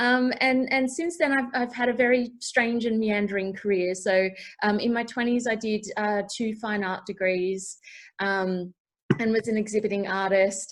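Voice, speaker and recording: In an Australian accent, the voice keeps a moderate pace with ordinary pitch variation. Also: woman. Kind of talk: panel introduction, casual. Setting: video call.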